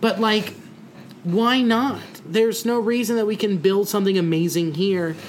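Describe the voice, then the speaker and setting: There is noticeable background noise behind a man speaking in a high pitch. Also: ordinary pitch variation, moderate pace. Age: 20s. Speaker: comedian and podcast co-host. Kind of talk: casual chat. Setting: at a kitchen table.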